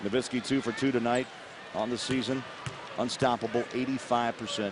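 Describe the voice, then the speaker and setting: A man at medium pitch with monotone, flat intonation, a fairly quick pace and noticeable background noise. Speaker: play-by-play announcer. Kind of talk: live commentary.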